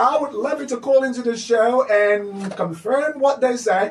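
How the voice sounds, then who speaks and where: There is noticeable background noise behind this man. He talks at a moderate pace, with ordinary pitch variation. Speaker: radio host. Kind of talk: children's radio show. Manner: animated.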